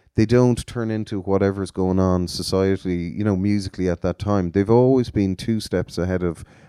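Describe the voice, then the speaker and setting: Speaking at a moderate pace in an Irish accent, a man with a fairly low pitch and a dark, mellow tone uses ordinary pitch variation, recorded dry and close with no echo against a quiet background. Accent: Irish (Galway). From Galway, Ireland. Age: 40s. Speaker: music promoter. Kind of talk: interview.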